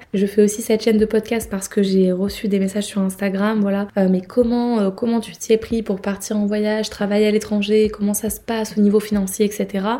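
Her voice has a dark, mellow tone and a medium pitch, with monotone, flat intonation. This woman speaks at a fairly quick pace with hardly any pauses. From southern France, between Marseille and Nice. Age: 20s. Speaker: travel podcaster. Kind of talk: casual monologue.

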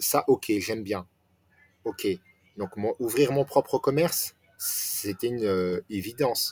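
A man's very slow speech with long, frequent pauses, in a dry, close sound with no echo. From France, Nancy area. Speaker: restaurant franchise owner. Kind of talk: interview. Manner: halting.

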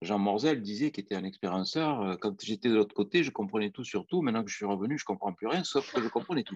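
The recording is dry and close with no echo, carrying a normal speaking voice with lively intonation at a fairly quick pace. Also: man. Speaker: anesthesiologist and near-death researcher. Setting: live video stream.

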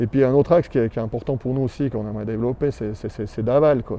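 His intonation stays fairly level throughout. The man's pitch is medium. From Switzerland, Valais (Granges near Sierre). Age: 40s. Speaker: local civic leader. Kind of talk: casual interview. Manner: hesitant, many fillers.

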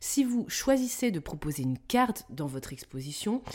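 On a very clean recording with a silent background, a woman speaks at a fairly slow pace with very wide pitch swings. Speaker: museum designer and podcast host. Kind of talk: solo podcast tutorial. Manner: upbeat, animated.

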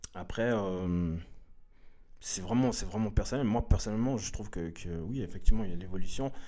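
A fairly low-pitched man at a fairly quick pace, ordinary pitch variation, and audible room echo. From Switzerland, Lausanne (arrived from Eritrea in 1985). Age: 30s. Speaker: hip-hop dancer. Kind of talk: casual interview. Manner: halting, many fillers and repetitions.

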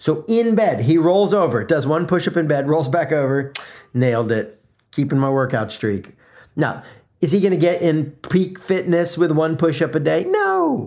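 A man with an American accent, a normal speaking voice, fairly high pitch, lively intonation, very even loudness and a moderate pace. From US South (South Florida, then Atlanta). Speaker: podcast host and brand consultant. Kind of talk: solo motivational podcast monologue. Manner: conversational, filler words.

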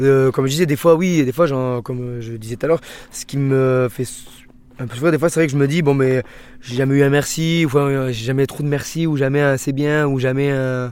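Delivered at a fairly quick pace with fairly even intonation, this is a normal speaking voice. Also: man, fairly high pitch for a man. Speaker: shellfish farmer. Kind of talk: interview.

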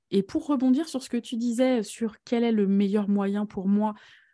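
A woman's dark, mellow tone with ordinary pitch variation on a very clean recording with a silent background. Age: 30s. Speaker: podcast host and eating coach. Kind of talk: casual interview chat.

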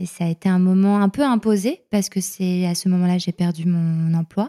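A woman's dark, mellow voice at medium pitch, fairly even in intonation and fairly slow, in a very clean recording with a silent background and a dry, close sound with no echo. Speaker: journalist and podcaster. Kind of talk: casual interview.

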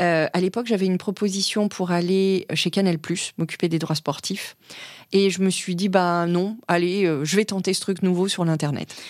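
On a very clean recording with a silent background, a woman speaks at a moderate pace and a medium pitch. Her intonation is fairly even and her loudness very even. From born and raised in Africa, also European culture. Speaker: corporate lawyer. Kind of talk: interview. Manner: hesitant fillers.

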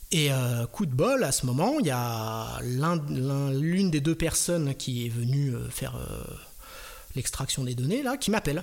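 A man's fairly high voice at a very slow pace, with ordinary pitch variation, on a very clean recording with a silent background. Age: 40s. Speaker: freelance software developer. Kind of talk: storytelling interview.

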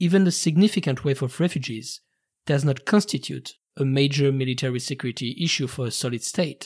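A man speaks at a fairly quick pace in a fairly high pitch, his voice somewhat breathy. The recording is very clean, with a silent background. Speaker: podcast host, history narrator. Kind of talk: scripted narration, history podcast. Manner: formal, narrative.

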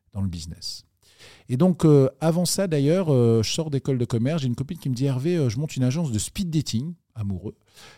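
Recorded very cleanly with a silent background and a dry, close sound with no echo, a man speaks in a fairly high, somewhat breathy, dark and mellow voice with very wide pitch swings. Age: 40s. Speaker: entrepreneur. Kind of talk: interview.

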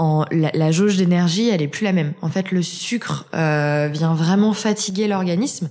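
Noticeable background noise sits behind a woman with a fairly low pitch. She keeps a fairly slow pace at very even loudness. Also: ordinary pitch variation. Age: 20s. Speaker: author on natural health and Crohn's disease. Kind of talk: interview. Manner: hesitant, many fillers.

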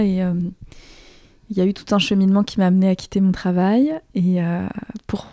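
Here a woman speaks at a medium pitch. Her tone is dark and mellow. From Alsace, France. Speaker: author and filmmaker. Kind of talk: interview conversation. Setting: apartment in Toulouse. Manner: halting.

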